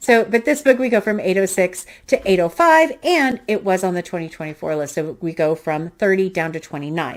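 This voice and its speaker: At a fairly quick pace with hardly any pauses, a woman of medium pitch makes very wide pitch swings on a very clean recording with a silent background. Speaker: booktuber. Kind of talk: casual book review monologue. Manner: fast.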